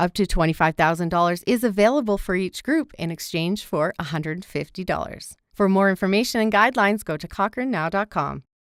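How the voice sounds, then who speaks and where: With hardly any pauses, a woman in a normal speaking voice talks at a fairly quick pace and medium pitch with lively intonation, the sound dry and close with no echo on a very clean recording with a silent background. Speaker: radio news reporter. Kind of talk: radio news report.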